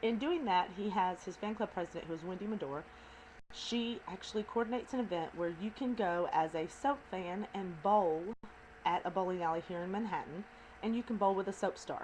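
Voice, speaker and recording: A woman's medium-pitched voice with a Southern US accent, a fairly quick pace and ordinary pitch variation, over a quiet background. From US South. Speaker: video blogger. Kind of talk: casual chat. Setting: at home.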